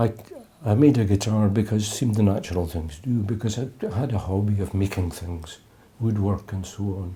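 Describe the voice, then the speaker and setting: With an Edinburgh accent, a man speaks at a fairly low pitch in a dark, mellow tone that is somewhat breathy. He moves at a fairly quick pace with ordinary pitch variation. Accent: Scottish (Edinburgh). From Scotland, Edinburgh. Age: 70s. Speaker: jazz musician. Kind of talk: interview. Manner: halting.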